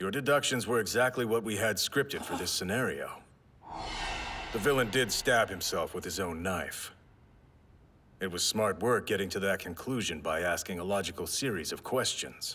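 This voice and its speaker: A man puts on a character voice at medium pitch. He speaks at a moderate pace. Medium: fan dub. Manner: dry, flat, stern.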